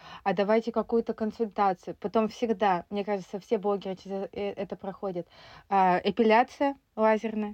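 At a moderate pace, a woman speaks with medium pitch and monotone, flat intonation. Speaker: sewing podcast host. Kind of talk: casual chat.

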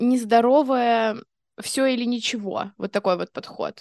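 Very slowly and with fairly even intonation, a woman with a fairly high voice speaks in a dry, close sound with no echo against a quiet background. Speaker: podcast co-host. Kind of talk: casual chat.

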